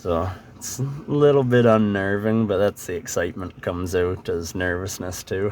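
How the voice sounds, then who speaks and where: This man speaks at a fairly low pitch. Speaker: travel vlogger. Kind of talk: voice-over narration. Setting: recorded after driving, overdubbed. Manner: monotone.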